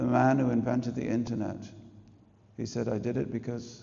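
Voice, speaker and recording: In an English accent, a man talks at a fairly quick pace and a medium pitch, with vocal fry. Audible room echo surrounds the voice. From England. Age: 60s. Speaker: spiritual teacher. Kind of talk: religious talk to an audience. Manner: animated.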